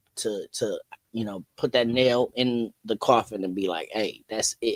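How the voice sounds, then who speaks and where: A man with an American accent and an ordinary speaking voice talks at a moderate pace and medium pitch, in a dry, close sound with no echo. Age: 40s. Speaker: DJ. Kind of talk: podcast interview.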